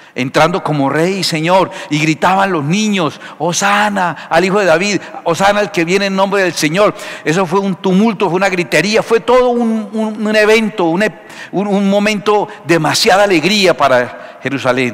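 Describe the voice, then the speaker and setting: A man speaks at a fairly slow pace in a high voice. His pitch varies in an ordinary way. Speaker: pastor preaching. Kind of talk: sermon. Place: church. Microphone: headset.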